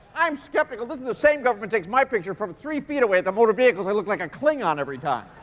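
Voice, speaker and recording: The speech races at a very fast pace with very wide pitch swings. Noticeable background noise sits behind it. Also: man. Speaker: stand-up comedian. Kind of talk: stand-up comedy routine. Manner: bright, energetic.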